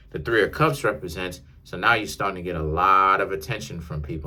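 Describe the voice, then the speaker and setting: Audible room echo surrounds a man whose fairly low-pitched voice has an animated, bright, sharp tone. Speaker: tarot reader. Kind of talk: tarot reading monologue. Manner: casual, animated.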